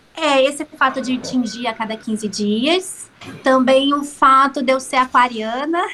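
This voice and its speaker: The speaker uses a raised, projected voice at a fairly slow pace. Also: woman, high pitch for a woman, ordinary pitch variation. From Rio de Janeiro state, Brazil (São Gonçalo). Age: 30s. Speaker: actress. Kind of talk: casual interview chat.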